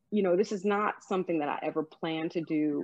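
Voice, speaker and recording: This is a normal speaking voice. The pitch varies in an ordinary way. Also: woman. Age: 50s. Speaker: author and life coach. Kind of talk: interview, personal testimony.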